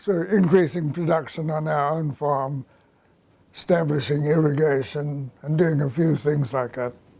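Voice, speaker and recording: Intonation is fairly even throughout. The voice sounds somewhat breathy, with a dark, mellow tone. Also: man, fairly high pitch for a man, moderate pace. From South Africa, Natal. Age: 80s+. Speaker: agricultural economist. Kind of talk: interview.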